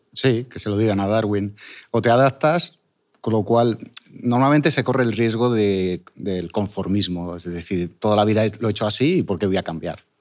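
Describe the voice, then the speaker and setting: A man with a normal speaking voice, fairly low in pitch, with ordinary pitch variation at a moderate pace. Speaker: sculptor and online business owner. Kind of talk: interview.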